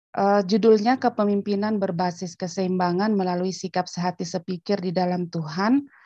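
A woman's dark, mellow voice at a moderate pace with fairly even intonation, dry with no echo over a quiet background. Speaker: theology school head, pastor; pastor. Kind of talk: lecture. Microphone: video call.

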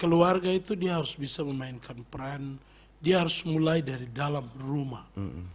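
A man's pitch varies in an ordinary way as he keeps to a moderate pace. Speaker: pastor. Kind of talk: radio interview. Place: studio. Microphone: studio mic.

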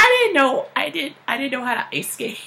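A woman speaks at a moderate pace with very wide pitch swings over light background noise. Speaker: vlogger. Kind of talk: casual vlog chat. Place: home room. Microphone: webcam.

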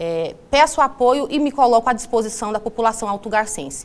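A woman's unremarkable speaking voice, fairly high in pitch, with ordinary pitch variation. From Alto Garças, Mato Grosso, Brazil; Mato Grosso, Brazil. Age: 30s. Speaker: social worker and local election candidate; election candidate. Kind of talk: TV interview, campaign statement. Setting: TV studio. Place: studio. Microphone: lapel.

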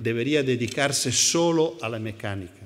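A man's very slow speech with lively intonation. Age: 70s. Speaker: educational psychologist; conference speaker. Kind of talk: conference talk. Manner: halting. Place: hall. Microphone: podium.

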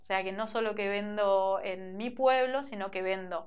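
The woman's pitch shifts in an ordinary way as she talks at a moderate speed. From Argentina, Merlo, San Luis; Argentina. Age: 30s. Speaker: shoe designer and entrepreneur. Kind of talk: interview. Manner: hesitant, many fillers. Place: studio. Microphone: lapel.

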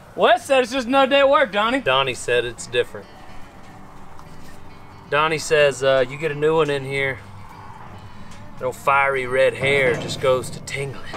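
A man at a moderate pace with ordinary pitch variation, long and frequent pauses, and clear music in the background. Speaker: ranch vlog host. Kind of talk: casual vlog chat.

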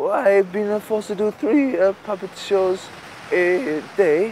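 A man talks in a high pitch. The sound is dry with no echo, over light background noise. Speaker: interviewee. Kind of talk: interview answer. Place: beach. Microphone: lapel.

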